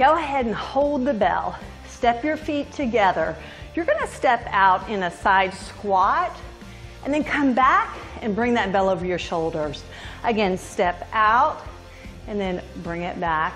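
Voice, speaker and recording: Faint music plays in the background as a woman speaks with long, frequent pauses. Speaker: fitness instructor. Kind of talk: workout instruction with devotional talk. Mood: upbeat, encouraging. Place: home room.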